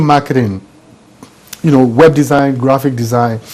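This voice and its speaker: This man speaks with an African accent at a moderate pace. Noticeable background noise is present. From Nigeria. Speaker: business coach and author. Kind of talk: studio interview.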